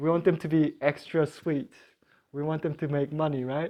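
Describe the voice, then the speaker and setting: The speaker talks at a moderate pace in a Korean accent. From South Korea. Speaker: beekeeping class teacher. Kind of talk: lecture. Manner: halting.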